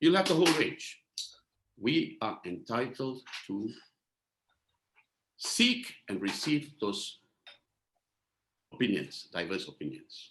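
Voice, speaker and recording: Marked by vocal fry, a man with a medium pitch speaks at a very slow pace with very wide pitch swings and long, frequent pauses. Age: 60s. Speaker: talk show host, lawyer. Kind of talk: panel discussion introduction.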